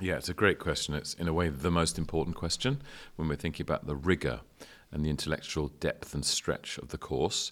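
On a very clean recording with a silent background, a man with a very deep, low pitch and vocal fry speaks at a fairly quick pace with ordinary pitch variation. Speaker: university dean. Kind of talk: interview conversation.

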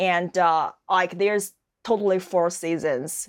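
A woman speaks with a Chinese accent at a fairly low pitch and with fairly even intonation. The recording is very clean, with a silent background. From China. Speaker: fashion model. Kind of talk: interview. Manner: halting.

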